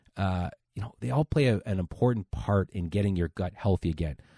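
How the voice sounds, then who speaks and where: Against a quiet background, a man with a dark, mellow tone talks at a fairly quick pace with lively intonation, the sound dry and close with no echo. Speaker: health podcast host. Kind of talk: solo podcast talk. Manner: fast; casual.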